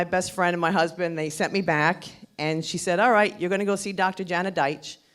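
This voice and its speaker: Her intonation stays flat and monotone. This woman's voice is fairly low in pitch. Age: 50s. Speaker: breast cancer survivor. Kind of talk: testimony. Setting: stage with audience.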